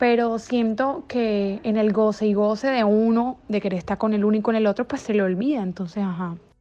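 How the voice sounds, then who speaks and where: A woman with an unremarkable speaking voice talks at a fairly high pitch and a moderate pace, with ordinary pitch variation. Her loudness stays very even, and there are hardly any pauses. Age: 20s. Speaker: interviewee, bar waitress. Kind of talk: interview.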